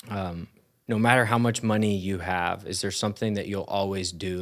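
Heard on a very clean recording with a silent background, a normal speaking voice moves at a fairly quick pace with fairly even intonation. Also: man. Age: 20s. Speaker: pastor. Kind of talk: interview. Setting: church.

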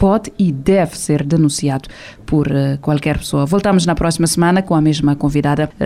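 A woman's very deep, low voice at a moderate pace, with very even loudness and fairly even intonation. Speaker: radio host and journalist. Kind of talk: radio interview, show introduction. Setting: radio studio. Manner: formal.

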